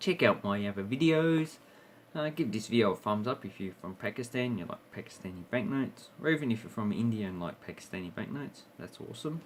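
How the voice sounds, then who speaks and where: With an Australian accent, a man talks at a fairly quick pace in a medium pitch, using lively intonation and big swings in loudness. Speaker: coin and banknote collector YouTuber. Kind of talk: casual show-and-tell video. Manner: hesitant, with filler words.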